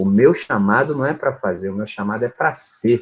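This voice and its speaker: The speaker is a man. His intonation is lively and his pace moderate. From Brazil, rural upbringing. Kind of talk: casual group discussion on Bible. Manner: animated.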